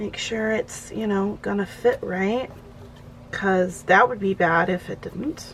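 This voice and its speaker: Noticeable background noise sits behind a woman who speaks at a very slow pace with fairly even intonation. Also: medium pitch for a woman. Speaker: planner hobby YouTuber. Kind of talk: casual craft tutorial chat. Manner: loud.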